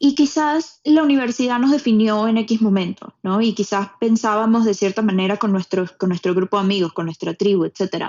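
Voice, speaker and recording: A woman with an ordinary speaking voice talks at a fairly quick pace, medium pitch and ordinary pitch variation. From Venezuela. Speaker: podcast host. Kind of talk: casual chat.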